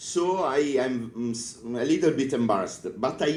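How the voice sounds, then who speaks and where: A man speaks at a fairly slow pace with an Italian accent, his medium pitch making very wide swings. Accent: Italian accent, non-native English. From northern Italy (Piedmont). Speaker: librarian, conference speaker. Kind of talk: conference talk. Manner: halting, many fillers.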